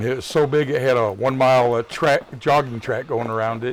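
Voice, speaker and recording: Noticeable background noise sits under fairly quick speech with a US Midwestern accent and fairly even intonation. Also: man. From Michigan, US Midwest. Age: 60s. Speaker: gaming streamer. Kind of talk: live gameplay commentary. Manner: casual, rambling chat.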